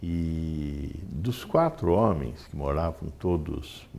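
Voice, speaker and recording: Amid audible room echo, a man speaks very slowly in a very deep, low pitch, his tone dark and mellow with ordinary pitch variation. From Brazil, Sorocaba (São Paulo state). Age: 60s. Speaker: physician. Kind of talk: interview. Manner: hesitant.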